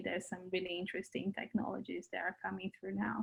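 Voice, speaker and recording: Her voice is somewhat breathy. The speaker is a woman. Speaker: podcast host. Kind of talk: podcast interview questions.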